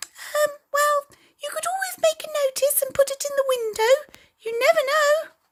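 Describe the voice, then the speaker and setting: A squeaky, put-on character voice talks at a moderate pace. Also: female-sounding voice, extremely high pitch for a woman. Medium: read story. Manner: hesitant.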